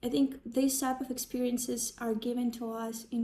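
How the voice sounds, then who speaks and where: A woman's high voice with a Ukrainian accent, dark and mellow in tone, with monotone, flat intonation. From Ukraine. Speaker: sound healer and psychology student. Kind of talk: personal talk to camera.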